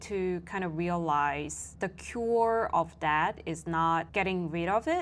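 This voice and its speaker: In a Korean accent, a woman speaks at a very slow pace with ordinary pitch variation on a very clean recording with a silent background. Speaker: vlogger and coach. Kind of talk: personal vlog monologue. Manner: reflective, casual with fillers.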